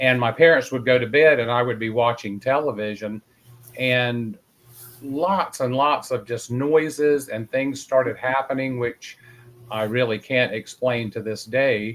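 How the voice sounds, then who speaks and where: With a Southern US accent, the speaker talks at a fairly slow pace with fairly even intonation. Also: man, medium pitch for a man. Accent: Southern US, moderate. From North Carolina. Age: 60s. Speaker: paranormal investigator. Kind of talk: interview storytelling.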